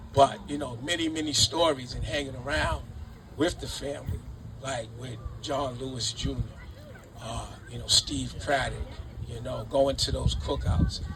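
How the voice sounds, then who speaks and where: Against noticeable background noise, a man with an American accent speaks at a moderate pace, leaving long, frequent pauses, his loudness swinging widely. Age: 60s. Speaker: city councillor. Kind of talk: ceremony speech. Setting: outdoors. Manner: halting; too quiet.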